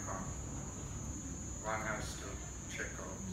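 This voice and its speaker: There is noticeable background noise and audible room echo as the man talks. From Jamaica. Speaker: poet and professor; poet, professor. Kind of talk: formal speech. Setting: book launch with audience. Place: hall. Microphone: podium.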